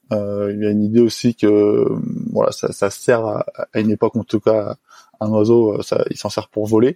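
The man talks at a moderate pace, his voice dry and close with no echo. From French Alps, Haute-Savoie. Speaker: highliner, tightrope walker. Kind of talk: interview testimony. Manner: hesitant, many fillers.

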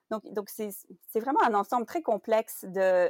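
Speaking at a very slow pace, a woman has a medium-pitched voice with ordinary pitch variation, and the sound is dry and close with no echo. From Belgium. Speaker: translation project manager. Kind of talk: interview.

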